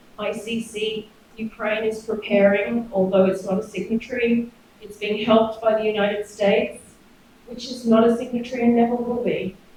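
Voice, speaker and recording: A woman with an Australian accent speaks at a fairly high pitch and moderate pace, with monotone, flat intonation. Her loudness swings widely, and there is noticeable background noise. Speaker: professor. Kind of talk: academic seminar discussion.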